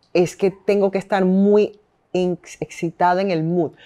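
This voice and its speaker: Fairly slow and fairly even in intonation, a woman speaks with a dark, mellow tone. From Venezuela, Caracas. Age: 30s. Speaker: radio host and businesswoman; interview guest. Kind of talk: casual interview. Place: home room.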